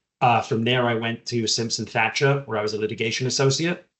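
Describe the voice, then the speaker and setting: A man speaks with an English accent and a fairly even intonation. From southern England. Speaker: general counsel. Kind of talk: podcast interview.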